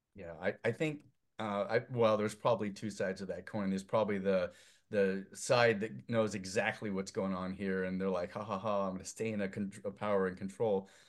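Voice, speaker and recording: Talking at a fairly quick pace, a man with a plain, everyday voice keeps a fairly low pitch and fairly even intonation. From US Northwest (Idaho). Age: 50s. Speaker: filmmaker. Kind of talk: casual chat.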